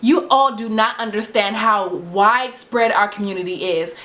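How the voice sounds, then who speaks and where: A woman's fairly high voice with ordinary pitch variation, against noticeable background noise. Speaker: natural hair vlogger. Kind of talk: tutorial. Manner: fast; animated.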